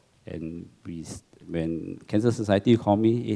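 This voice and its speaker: Speaking with a Singaporean accent, a man talks at a fairly slow pace in a dark, mellow tone with ordinary pitch variation. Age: 60s. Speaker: cancer survivor, support group secretary. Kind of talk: testimony.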